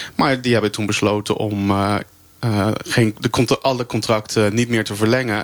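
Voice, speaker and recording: Monotone, flat speech from a man with a fairly low pitch at a fairly quick pace. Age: 30s. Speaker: meal delivery courier, flex worker. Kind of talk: live radio debate. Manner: halting.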